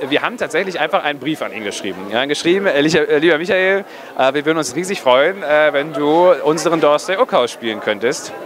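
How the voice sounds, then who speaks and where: A man talks with lively intonation. Noticeable background noise sits behind him. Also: fairly quick pace, dry sound with no echo. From northern Germany, near Kiel; northern Germany. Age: 20s. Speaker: film director. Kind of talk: casual interview. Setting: cinema premiere event. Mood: cheerful, relaxed. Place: hall. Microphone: handheld.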